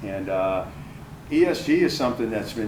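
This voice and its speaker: A man speaks at a fairly low pitch. Audible room echo and noticeable background noise come through. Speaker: panel moderator, finance executive. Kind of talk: panel introduction at live event. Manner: loud.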